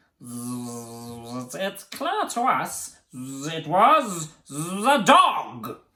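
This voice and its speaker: The speaker uses a put-on character voice at a middle pitch. The pace is very slow. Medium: read story.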